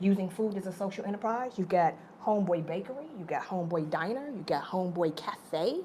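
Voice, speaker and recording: In an animated tone with lively intonation, a woman talks at a fairly quick pace over noticeable background noise and audible room echo. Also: medium pitch for a woman. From Detroit, Southern family roots. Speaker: nonprofit executive director, moderator. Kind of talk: onstage moderated conversation. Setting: stage with audience.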